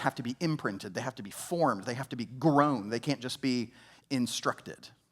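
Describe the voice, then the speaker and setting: A man with an American accent talks at a fairly quick pace and medium pitch. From US South, Georgia family roots. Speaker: pastor. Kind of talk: sermon. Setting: church. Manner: conversational, with filler words.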